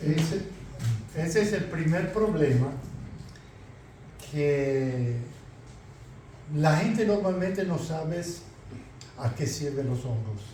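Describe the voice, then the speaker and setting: With an Italian accent, a man with a fairly high pitch speaks very slowly and with lively intonation, taking long, frequent pauses amid audible room echo and noticeable background noise. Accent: Italian-accented Spanish, self-learned. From Italy. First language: Italian (speaking Spanish). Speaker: mycologist lecturer. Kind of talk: lecture.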